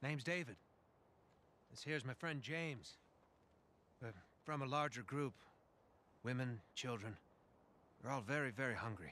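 A man with a bright, sharp tone speaks at a moderate pace, with long, frequent pauses and ordinary pitch variation, in a dry sound with no echo. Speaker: video game character. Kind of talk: game character dialogue.

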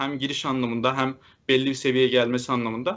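A man speaking at a fairly quick pace. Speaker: data engineering instructor; instructor. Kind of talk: live Q&A answers. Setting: video call. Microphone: webcam.

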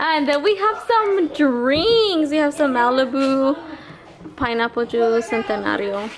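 Noticeable background noise sits behind a woman's voice. She has a high pitch and a fairly slow pace. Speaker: vlogger. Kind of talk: casual vlog chat. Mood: cheerful, playful. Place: garage. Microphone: phone near.

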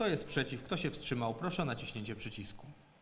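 A man speaks at a very fast pace. Light background noise sits behind him. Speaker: city council chairman. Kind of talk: formal council session chairing. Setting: council session with Zoom and YouTube stream. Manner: formal. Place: hall. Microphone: echo, voice wavering on the stream.

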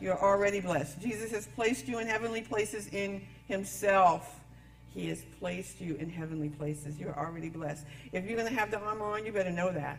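At a fairly quick pace, a woman talks with ordinary pitch variation over light background noise. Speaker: pastor. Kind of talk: sermon. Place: church.

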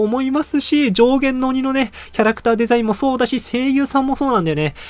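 Here a man speaks at a fairly quick pace. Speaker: anime news YouTuber. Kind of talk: casual video commentary. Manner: fast; animated. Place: home room.

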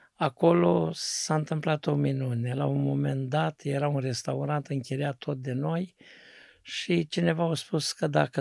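Using a normal speaking voice, a man with a fairly high pitch speaks at a fairly slow pace with ordinary pitch variation. The sound is dry with no echo, and the background is quiet. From Romania, Neamț county (Moldavia); Romania. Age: 60s. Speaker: pastor. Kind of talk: testimony. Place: studio. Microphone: studio mic.

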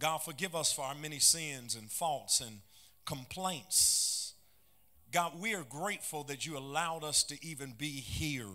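Against a quiet background, a man speaks at a fairly slow pace. His tone is bright and sharp, with ordinary pitch variation. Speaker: pastor. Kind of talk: sermon. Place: church. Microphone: handheld.

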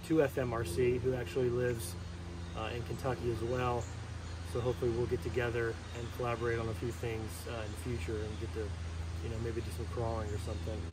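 Noticeable background noise sits under a man's voice. He goes at a fairly quick pace with ordinary pitch variation. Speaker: RC hobby channel host. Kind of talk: casual vlog chat. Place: waterside.

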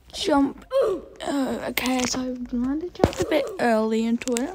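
A very slow pace with noticeable background noise. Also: woman. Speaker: gaming YouTuber. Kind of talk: gameplay commentary. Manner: animated.

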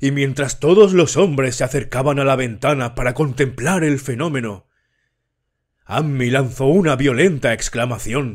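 In a very clean recording with a silent background, a man speaks at a fairly slow pace in a plain, everyday voice, with medium pitch and ordinary pitch variation. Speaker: audiobook narrator. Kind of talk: horror audiobook narration, read aloud. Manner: slow, measured, somber storytelling.

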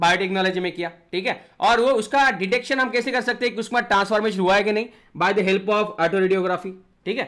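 Against a quiet background, a man speaks at a fairly quick pace in a high pitch, his tone animated, bright and sharp, with ordinary pitch variation. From India. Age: 20s. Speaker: online biology teacher. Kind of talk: lecture.

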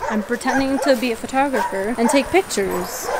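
Over noticeable background noise, a woman talks at a fairly quick pace with ordinary pitch variation, the sound dry with no echo. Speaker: vlogger. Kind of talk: casual vlog chat. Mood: excited, slightly nervous. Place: street. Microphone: phone near.

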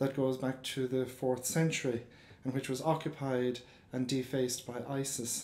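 There is audible room echo around a man speaking in an Irish accent. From Ireland. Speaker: professor. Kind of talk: formal introduction. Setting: lecture hall with audience. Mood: earnest, solemn. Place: hall. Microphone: podium.

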